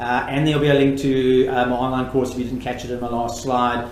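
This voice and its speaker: A man is talking. His voice comes with audible room echo and noticeable background noise. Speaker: education technology presenter. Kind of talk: webinar Q&A. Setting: live webinar. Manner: fast.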